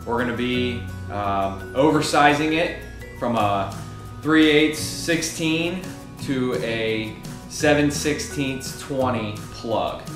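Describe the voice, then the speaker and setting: Speech moves at a very slow pace over clear background music, with audible room echo. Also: man. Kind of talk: tutorial. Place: garage. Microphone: camera far.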